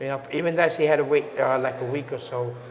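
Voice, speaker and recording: A man with a fairly high pitch at a fairly quick pace, with audible room echo and noticeable background noise. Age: 60s. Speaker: resident interviewed about COVID experience. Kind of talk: casual interview. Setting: on site at a community residence hall. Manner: halting, many fillers.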